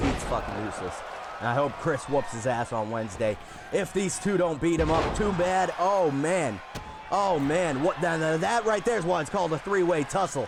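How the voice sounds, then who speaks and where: A loud, animated man's voice, fairly high-pitched, with very wide swings in pitch, a moderate pace and noticeable background noise. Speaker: wrestling commentator and stream host. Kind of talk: live commentary.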